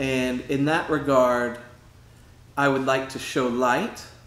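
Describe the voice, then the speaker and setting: The speech moves at a very slow pace. Room echo is audible. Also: man. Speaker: painter; author. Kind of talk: casual explanation of own artwork. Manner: hesitant, many fillers. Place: home room.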